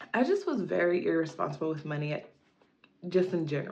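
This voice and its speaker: A woman's voice comes across as somewhat breathy. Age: 30s. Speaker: lifestyle vlogger. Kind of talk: casual personal vlog monologue. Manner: casual, filler-heavy.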